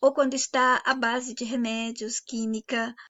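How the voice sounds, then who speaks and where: Using a high pitch, a woman speaks at a fairly slow pace. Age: 60s. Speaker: channel host, philosophy talk. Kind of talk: monologue lecture.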